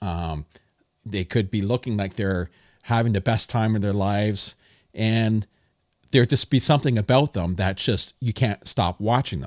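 On a very clean recording with a silent background, a man speaks in a plain, everyday voice at a moderate pace. His fairly low pitch shows ordinary variation in a dry, close sound with no echo. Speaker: podcast host. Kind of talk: casual interview.

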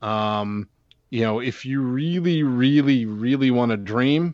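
Using a normal speaking voice with an American accent, a man talks at a moderate pace and medium pitch, with ordinary pitch variation and a quiet background. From Pittsburgh, US. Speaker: baseball prospects analyst. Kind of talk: interview.

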